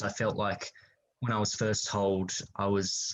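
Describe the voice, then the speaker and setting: With an Australian accent, a man talks at a moderate pace in a fairly low pitch against a quiet background. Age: 20s. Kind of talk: interview.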